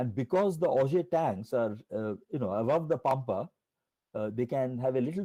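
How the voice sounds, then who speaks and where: With a dark, mellow tone and lively intonation, a man speaks in a dry, close sound with no echo. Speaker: physics professor. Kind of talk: lecture. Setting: online colloquium. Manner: fast.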